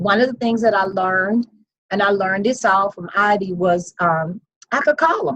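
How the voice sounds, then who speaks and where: A woman's ordinary speaking voice, medium in pitch with ordinary pitch variation, at a moderate pace and dry and close with no echo. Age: 50s. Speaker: investor sharing success story. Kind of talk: interview. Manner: conversational, repetitive.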